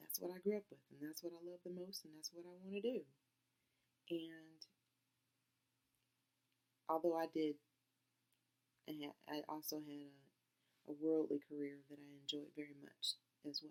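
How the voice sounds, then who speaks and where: A soft-spoken woman with a very deep, low pitch talks at a moderate pace with fairly even intonation. Her loudness swings widely, and she pauses long and often. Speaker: fiber arts crafter. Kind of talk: casual talk to camera.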